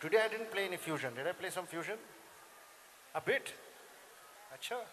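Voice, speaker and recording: Over noticeable background noise, a man talks very fast in a high pitch with lively intonation. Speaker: sitar player. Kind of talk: Q&A with school students. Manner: playful, animated.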